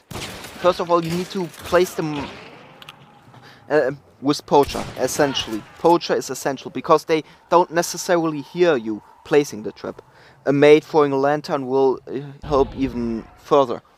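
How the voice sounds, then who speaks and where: A man with a German accent, fairly high in pitch, at a moderate pace with ordinary pitch variation and long, frequent pauses. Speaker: gaming guide creator. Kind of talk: game tutorial voice-over.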